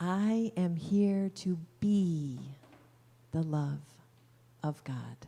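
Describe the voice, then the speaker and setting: A woman's fairly low, somewhat breathy voice with a dark, mellow tone, at a very slow pace with long, frequent pauses. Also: ordinary pitch variation. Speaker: minister at a Unity church. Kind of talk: sermon at a Sunday church service.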